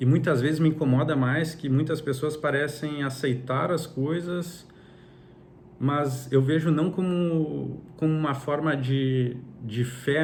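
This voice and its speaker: Speaking at a fairly slow pace with a Brazilian accent, a man with fairly high pitch and a somewhat breathy voice keeps his intonation fairly even, with audible room echo. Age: 30s. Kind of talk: personal religious reflection monologue. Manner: halting, with frequent repetitions.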